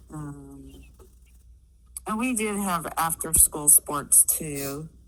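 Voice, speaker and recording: The pace is very slow. A woman talks in an American accent. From US Midwest, Kansas. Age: 60s. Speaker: interviewee. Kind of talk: casual interview. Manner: hesitant, many fillers.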